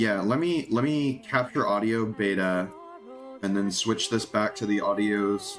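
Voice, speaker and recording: Music plays in the background as a man mumbles. His pitch varies in an ordinary way. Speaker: gaming streamer. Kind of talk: live gameplay stream chat. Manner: mumbling; casual, many fillers.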